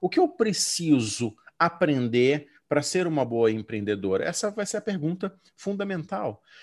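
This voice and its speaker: A man's voice with very wide pitch swings comes through in a very clean recording with a silent background. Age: 40s. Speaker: educational consultant and former English teacher. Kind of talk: interview.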